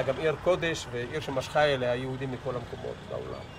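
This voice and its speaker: A man with a fairly high pitch talks at a moderate pace, his pitch varying in an ordinary way. Noticeable background noise runs underneath. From Israel, Jerusalem. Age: 70s. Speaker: interviewee recounting childhood. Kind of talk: oral history interview. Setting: outdoors.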